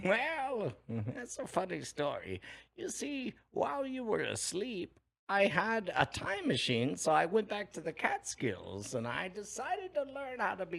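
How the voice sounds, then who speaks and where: A put-on character voice, fairly high in pitch and at a fairly slow pace. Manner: comic, storytelling.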